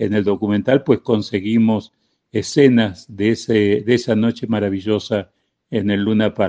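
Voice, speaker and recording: In a dry, close sound with no echo, a man speaks fairly slowly with a dark, mellow tone. His fairly low pitch is monotone and flat. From Argentina. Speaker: documentary filmmaker and record label founder. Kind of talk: interview.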